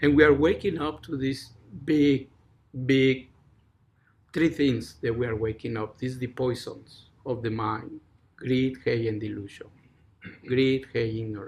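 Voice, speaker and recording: A man with a Mexican accent, medium in pitch and somewhat breathy, at a fairly slow pace with long, frequent pauses and ordinary pitch variation. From Mexico. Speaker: Zen teacher. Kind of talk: dharma talk.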